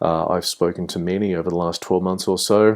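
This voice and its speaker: Speaking at a moderate pace, a man with an Australian accent has a very deep, low pitch. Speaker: game developer and lecturer. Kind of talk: online course introduction. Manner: hesitant with many fillers.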